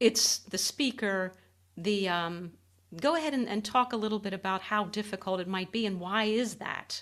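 On a very clean recording with a silent background, a woman with a normal speaking voice talks at medium pitch and a moderate pace, her pitch variation ordinary. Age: 60s. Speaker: podcast host. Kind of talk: interview.

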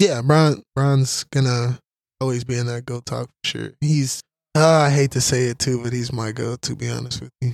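Moderately paced man's voice at a medium pitch, fairly even in intonation. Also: dry, close sound with no echo. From Houston, Texas. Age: 20s. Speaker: college football player. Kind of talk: casual chat.

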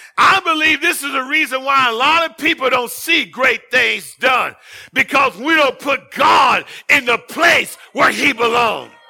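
Shouting in an animated tone, a man uses an extremely high pitch with ordinary variation. His tone is bright and sharp, and his pace is fairly slow. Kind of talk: sermon, preacher in full flow, exhorting the congregation. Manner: animated, fervent, call-and-response with exclamations.

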